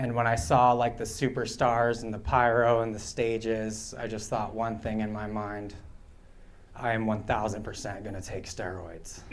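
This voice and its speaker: Audible room echo surrounds a man speaking at medium pitch and a moderate pace in a monotone, flat intonation. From Pine Ridge Reservation, South Dakota (Oglala Lakota). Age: 30s. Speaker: stand-up comedian. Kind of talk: stand-up. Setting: stage with audience at a bar.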